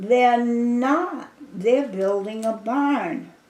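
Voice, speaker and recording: Against noticeable background noise, a woman talks with lively intonation. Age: 80s+. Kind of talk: oral history interview answer. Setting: home kitchen. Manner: casual, rambling, halting.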